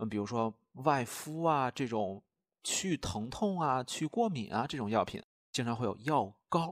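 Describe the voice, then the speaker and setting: A man's plain, everyday voice at medium pitch, fairly slow in pace with lively intonation, on a very clean recording with a silent background and a dry, close sound with no echo. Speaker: language teacher. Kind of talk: lecture.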